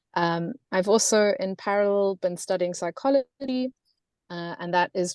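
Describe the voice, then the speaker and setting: This woman talks at a moderate pace with a South African accent. Her pitch sits in the medium range. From South Africa, Cape Town. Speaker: gender and climate consultant. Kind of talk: webinar presentation.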